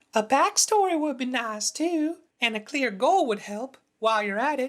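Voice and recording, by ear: A man does a cartoonish character voice at an extremely high pitch, moving at a moderate pace.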